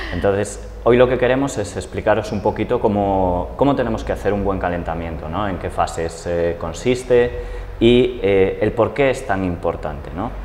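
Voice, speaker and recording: Over light background noise, a man with an unremarkable speaking voice talks at a moderate pace, fairly low in pitch with ordinary pitch variation. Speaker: fitness trainer. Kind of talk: tutorial. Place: gym. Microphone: lapel.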